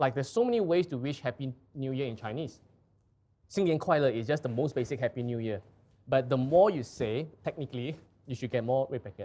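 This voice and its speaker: With a Singaporean accent, a man talks at a fairly quick pace in a dark, mellow tone, his pitch medium and its variation ordinary. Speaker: live show host presenting art and antiques. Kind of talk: casual conversational explanation.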